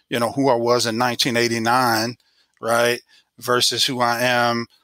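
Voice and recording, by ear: The recording has a dry, close sound with no echo as a man speaks at a moderate pace in a bright, sharp tone with monotone, flat intonation. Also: medium pitch for a man.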